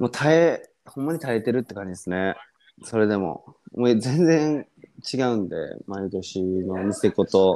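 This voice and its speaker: In a very clean recording with a silent background, a man of medium pitch speaks with a dark, mellow tone and lively intonation. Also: moderate pace. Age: 20s. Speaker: guest who had COVID, call center worker. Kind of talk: casual chat.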